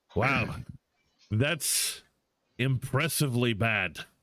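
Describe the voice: A man uses a put-on character voice at a medium pitch and a very slow pace.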